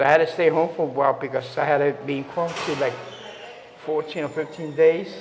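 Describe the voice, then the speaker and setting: Against noticeable background noise and audible room echo, a man talks at a very fast pace in a fairly high voice. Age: 60s. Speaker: resident interviewed about COVID experience. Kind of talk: casual interview. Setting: on site at a community residence hall. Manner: halting, many fillers.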